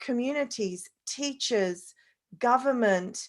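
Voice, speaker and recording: A woman with an Australian accent speaks in a high pitch with ordinary pitch variation. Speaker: parenting expert, panelist. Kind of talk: online panel discussion.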